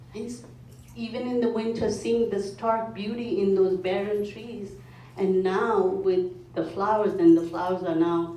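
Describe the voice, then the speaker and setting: A woman talks at a very slow pace. Audible room echo surrounds her voice. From India. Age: 50s. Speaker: mindfulness foundation speaker. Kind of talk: talk to a club meeting.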